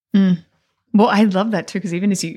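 A woman with an Australian accent speaks at a medium pitch in a somewhat breathy voice. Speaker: nun and podcast co-host.

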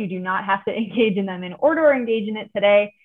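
A woman talks at a fairly quick pace in an ordinary speaking voice. Her pitch is medium. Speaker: podcast host. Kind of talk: interview.

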